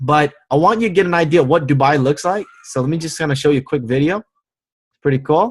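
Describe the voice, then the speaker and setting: Animated and somewhat breathy, a man with an American accent talks at a very fast pace and fairly high pitch, with ordinary pitch variation. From United States. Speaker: network marketing team leader. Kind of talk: motivational training webinar. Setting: online webinar with screen share.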